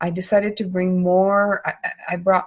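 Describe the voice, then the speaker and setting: A woman speaks at a medium pitch in a somewhat breathy voice. The background is quiet. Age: 50s. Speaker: podcast host. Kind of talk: interview.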